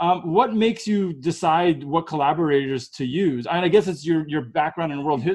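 A man with an American accent, a plain, everyday voice, a moderate pace and ordinary pitch variation against a quiet background. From United States. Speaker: podcast host. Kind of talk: interview.

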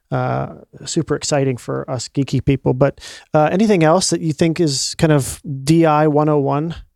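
A dry, close sound with no echo on a very clean recording with a silent background. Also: man, fairly high pitch for a man, ordinary pitch variation, moderate pace. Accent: Midwestern. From Ohio. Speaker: podcast host. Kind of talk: casual interview chat.

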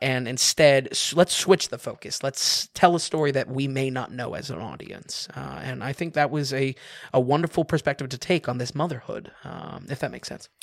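A man with a fairly high pitch and vocal fry talks at a moderate pace with hardly any pauses, ordinary pitch variation and big swings in loudness, in a dry, close sound with no echo. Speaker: movie reviewer. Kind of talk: casual chat. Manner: hesitant, repeats words.

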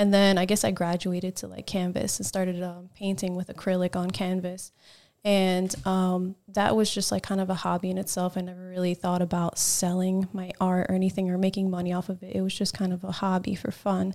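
On a very clean recording with a silent background, a woman with an American accent talks at a fairly quick pace in a dark, mellow tone with monotone, flat intonation. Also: medium pitch for a woman. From New Jersey. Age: 30s. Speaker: guest, learner stunt rider and artist. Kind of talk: casual chat.

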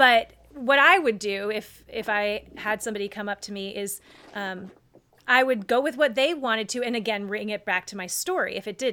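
With an American accent, a woman speaks in a fairly high pitch and a bright, sharp tone. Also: ordinary pitch variation, moderate pace. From North Carolina. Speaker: former theme park performer. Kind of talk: casual chat.

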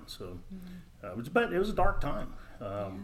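An American accent comes through with audible room echo, a somewhat breathy quality and ordinary pitch variation. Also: man. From Texas (Dallas). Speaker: mortgage loan officer. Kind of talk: casual interview.

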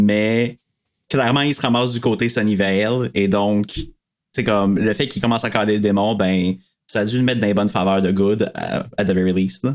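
A man with a Quebec accent talks at a moderate pace in a fairly low pitch with fairly even intonation. The recording is very clean, with a silent background. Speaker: podcast guest. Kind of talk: casual chat.

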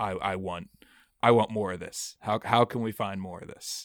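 A man with an American accent at a moderate pace, monotone and flat in intonation, in a very clean recording with a silent background and a dry, close sound with no echo. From Pittsburgh, Pennsylvania. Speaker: beer tour guide and podcaster. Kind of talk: casual chat.

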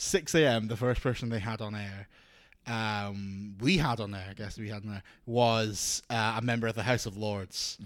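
A man's fairly low voice with a Scottish accent, fairly even intonation and a moderate pace. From Scotland. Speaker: radio DJ. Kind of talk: casual chat.

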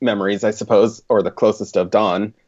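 A man with an American accent has a normal speaking voice. He talks at a medium pitch and a moderate pace. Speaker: writer and illustrator. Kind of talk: casual chat.

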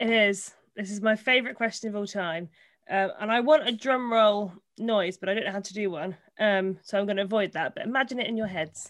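A woman talks at a fairly quick pace in a medium pitch with ordinary pitch variation. Hers is an unremarkable speaking voice. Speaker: podcast co-host. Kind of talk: casual interview chat. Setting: video call.

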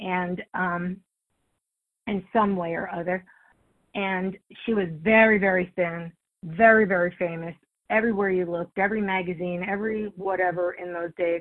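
A woman with a medium pitch talks at a moderate pace in a monotone, flat intonation, leaving long, frequent pauses. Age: 60s. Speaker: recovery meeting speaker. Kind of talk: testimony. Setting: phone call.

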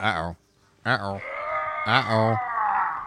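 A man puts on a character voice. His pitch is medium. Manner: playful, goofy.

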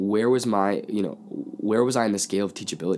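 A man is speaking. His pitch is fairly low. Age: 20s. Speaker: youth pastor and podcast co-host. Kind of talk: casual chat.

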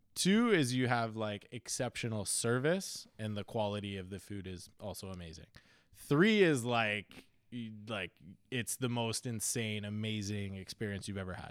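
Here a man uses an ordinary speaking voice at a fairly low pitch, with ordinary pitch variation and big swings in loudness. He keeps a moderate pace in a very clean recording with a silent background. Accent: Canadian. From Canada (Ontario). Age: 30s. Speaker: chef. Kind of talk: casual chat.

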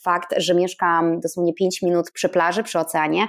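A woman talks in an unremarkable speaking voice at a fairly slow pace and fairly low pitch, on a very clean recording with a silent background. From northern Poland. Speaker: painter living in Bali. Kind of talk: casual interview chat.

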